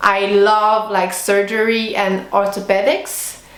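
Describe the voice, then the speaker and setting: Amid noticeable background noise, a woman speaks very slowly at a medium pitch in a French accent. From Switzerland. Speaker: veterinary student. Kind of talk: vlog monologue. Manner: casual, many fillers.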